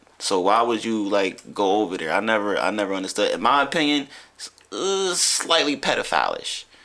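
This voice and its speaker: At a moderate pace, a man with a medium pitch and an unremarkable speaking voice talks with lively intonation. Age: 30s. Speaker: poet and vegan childhood friend of host. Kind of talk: casual chat.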